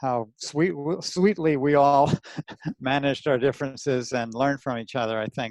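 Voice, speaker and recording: A man with an American accent speaks at a fairly high pitch. His pace is moderate, with ordinary pitch variation. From New Jersey, US. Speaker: anatomist and dissection teacher. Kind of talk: podcast interview. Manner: casual, rough-spoken.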